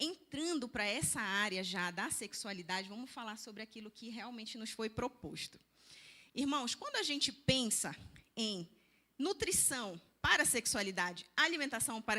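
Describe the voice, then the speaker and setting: The tone is bright and sharp, the intonation lively, the pace moderate, and the loudness swings widely. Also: woman. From Belém do Pará, northern Brazil. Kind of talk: church lecture.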